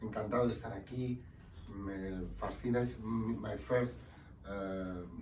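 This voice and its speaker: In a Spanish accent, a man with a fairly low pitch speaks at a fairly slow pace with ordinary pitch variation, over audible room echo and noticeable background noise. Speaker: book author. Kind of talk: book presentation talk. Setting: live event with audience.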